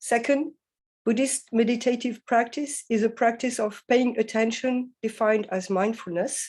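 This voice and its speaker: A woman speaks with a French accent. Her voice is fairly high, with fairly even intonation. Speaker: philosophy professor. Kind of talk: academic lecture. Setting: video call to conference. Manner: hesitant, many fillers; slow.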